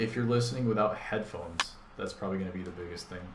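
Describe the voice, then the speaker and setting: In an American accent, a man mumbles at a fairly low pitch with fairly even intonation, and audible room echo surrounds his voice. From US Midwest, Chicago. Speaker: gaming streamer. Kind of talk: live gameplay stream chat. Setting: live stream. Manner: mumbling.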